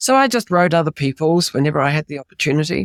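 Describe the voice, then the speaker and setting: A woman with a New Zealand accent, very deep and low in pitch, in a dry, close sound with no echo. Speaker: author, retired music professor. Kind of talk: interview.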